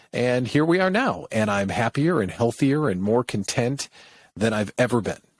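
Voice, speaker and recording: Heard dry and close with no echo, an ordinary speaking voice carries lively intonation at a moderate speed. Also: man, medium pitch for a man. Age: middle-aged. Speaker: business coach, former radio host. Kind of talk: podcast interview. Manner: casual, conversational.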